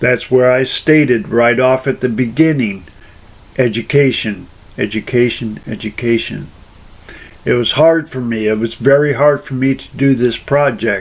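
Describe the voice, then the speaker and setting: Speaking in a normal speaking voice, a man keeps a medium pitch, ordinary pitch variation and a fairly slow pace. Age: adult. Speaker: person sharing personal experience. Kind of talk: personal testimony monologue. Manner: rambling, repetitive phrasing.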